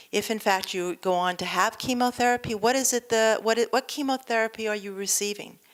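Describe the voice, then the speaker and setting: With an American accent and a fairly high pitch, a woman speaks in a plain, everyday voice with fairly even intonation, recorded very cleanly with a silent background. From New York. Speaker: nurse. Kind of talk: lecture. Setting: stage with audience.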